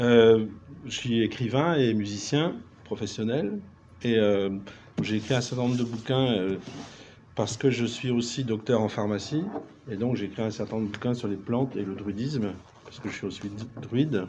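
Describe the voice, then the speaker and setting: A man speaks at a moderate pace and medium pitch, with ordinary pitch variation. Long, frequent pauses break up his speech, and the room echo is audible. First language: Breton (speaking French). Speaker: writer, musician and druid. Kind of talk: round table discussion.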